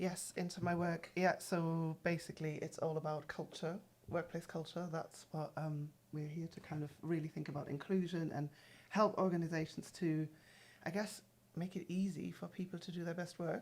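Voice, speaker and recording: Flat and monotone, this woman's voice sits fairly low in pitch. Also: moderate pace. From Germany. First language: German. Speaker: executive coach. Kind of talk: podcast conversation. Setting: studio.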